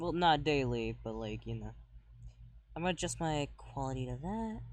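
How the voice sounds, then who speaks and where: A soft-spoken man at a moderate pace. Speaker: streamer. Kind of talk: casual gaming stream chat. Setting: live stream. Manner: quiet, soft-spoken.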